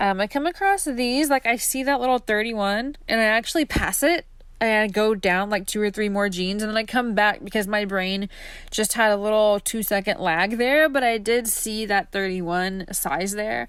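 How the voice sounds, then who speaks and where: This woman has an ordinary speaking voice, fairly high in pitch, with ordinary pitch variation at a moderate pace on a very clean recording with a silent background. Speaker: fashion reseller vlogger. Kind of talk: casual vlog voiceover. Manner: casual, filler-heavy.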